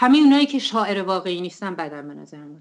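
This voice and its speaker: At a medium pitch, a woman speaks with very wide pitch swings. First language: Turkish (Azerbaijani) (speaking Persian). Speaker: poet. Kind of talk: interview.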